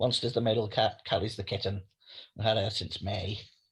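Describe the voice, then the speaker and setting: The recording is very clean, with a silent background. A man speaks in a fairly low, somewhat breathy voice with monotone, flat intonation. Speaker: writer. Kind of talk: interview.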